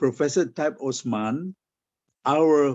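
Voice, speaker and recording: A man's fairly high-pitched voice at a very slow pace with ordinary pitch variation. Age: 70s. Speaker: folklore scholar. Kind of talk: conference talk.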